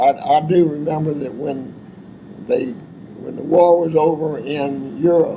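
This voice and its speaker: A man with a Texan accent at a fairly slow pace, amid noticeable background noise and audible room echo. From Texas, Abilene. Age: 90s. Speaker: war veteran. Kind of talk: oral history interview. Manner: halting.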